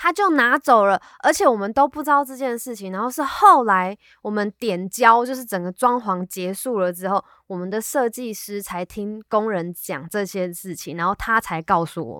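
A woman with a fairly high pitch and a bright, sharp tone talks at a moderate pace, her intonation lively and her loudness swinging widely. The recording is very clean with a silent background and a dry, close sound with no echo. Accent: Taiwanese. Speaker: podcast co-host. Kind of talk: casual chat.

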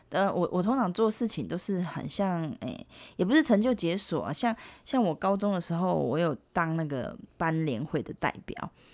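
On a very clean recording with a silent background, a woman with a fairly low pitch talks at a moderate pace in an animated tone with lively intonation. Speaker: podcast co-host. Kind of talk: casual chat. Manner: animated, lots of laughter.

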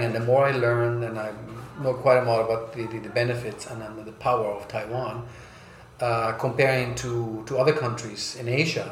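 A man speaks in a flat monotone. There is audible room echo and noticeable background noise. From South America and US, raised mostly in Germany. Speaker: brand strategy consultant. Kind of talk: interview. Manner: hesitant, many fillers.

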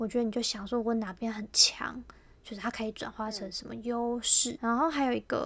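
The woman's voice is fairly high, with ordinary pitch variation. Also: fairly quick pace. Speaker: podcast co-host. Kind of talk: casual chat.

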